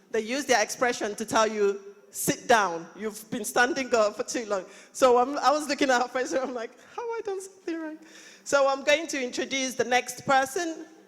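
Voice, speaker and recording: Over noticeable background noise, a woman with a high pitch talks at a fairly quick pace. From Nigeria. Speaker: local councillor and conference panel moderator. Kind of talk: conference panel introductions. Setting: conference hall with live audience. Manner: animated.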